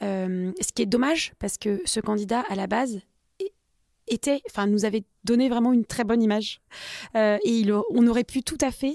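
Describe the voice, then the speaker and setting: This woman talks at a moderate pace in a fairly high pitch with ordinary pitch variation. Her tone is dark and mellow, and the sound is dry and close with no echo. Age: 40s. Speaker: recruiter and company co-founder. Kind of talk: interview. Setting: studio.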